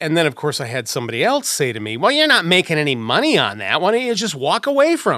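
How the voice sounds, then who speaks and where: Talking at a very fast pace with hardly any pauses, a man uses a fairly high, bright, sharp voice with vocal fry and very wide pitch swings. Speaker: audio engineer and voiceover actor. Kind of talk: casual chat. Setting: studio.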